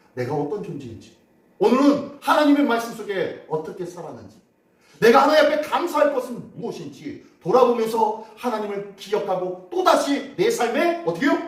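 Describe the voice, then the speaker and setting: The speaker's loudness swings widely and the pitch swings very widely, at a moderate pace. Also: man, extremely high pitch for a man. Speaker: pastor. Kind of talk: sermon. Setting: church. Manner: conversational, asks congregation questions.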